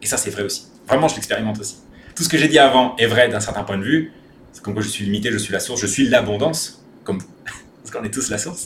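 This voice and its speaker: A man speaks at a very fast pace and medium pitch, with ordinary pitch variation. His loudness swings widely, and there is noticeable background noise. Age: 30s. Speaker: spiritual content creator. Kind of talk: personal monologue video. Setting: rented bungalow at home.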